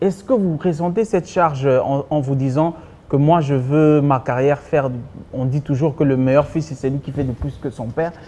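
Talking at a moderate pace, a man with a fairly high pitch is heard over noticeable background noise. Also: ordinary pitch variation. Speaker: TV talk show host. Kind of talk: TV talk show. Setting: TV studio with audience.

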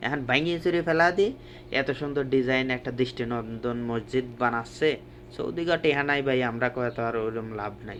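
A man with a Pabna accent speaks at a medium pitch with ordinary pitch variation. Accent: Pabna regional Bengali dialect. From Bangladesh, Pabna district. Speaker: migrant worker and vlogger. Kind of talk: walking vlog narration. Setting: outdoors, walking by roadside. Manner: casual colloquial dialect.

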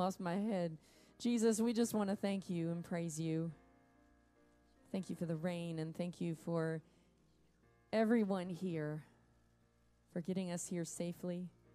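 Over faint music in the background, a woman speaks at a fairly slow pace with long, frequent pauses. Her fairly low pitch holds a fairly even intonation. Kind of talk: worship welcome and spoken prayer. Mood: warm, prayerful. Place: stage.

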